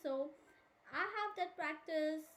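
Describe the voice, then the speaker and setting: Soft-spoken, this woman has a high voice. Her pitch varies an ordinary amount. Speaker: art teacher. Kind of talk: tutorial. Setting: live stream.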